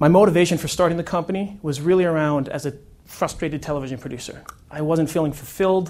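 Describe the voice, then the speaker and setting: Very fast speech with fairly even intonation. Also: man, fairly high pitch for a man. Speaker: media company founder and speaker. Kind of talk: conference talk.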